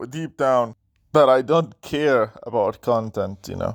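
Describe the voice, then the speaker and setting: The speech has a non-native accent and a fairly slow pace. Its intonation is lively. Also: man. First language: not English (third language). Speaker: gaming YouTuber. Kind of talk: casual response monologue. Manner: halting, stuttering; repetitive filler words.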